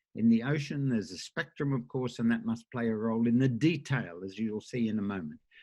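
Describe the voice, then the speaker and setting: A man with an Australian accent is speaking. His voice sits at a medium pitch with ordinary pitch variation. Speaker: professor. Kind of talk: lecture. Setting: conference talk with slides. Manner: halting, many filler uhs.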